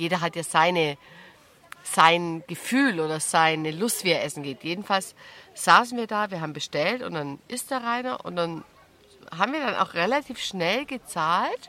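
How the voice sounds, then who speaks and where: Her tone is calm, her intonation lively. The woman speaks at a fairly low pitch and a moderate pace. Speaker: podcast host. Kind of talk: casual interview. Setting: outdoors at a campsite.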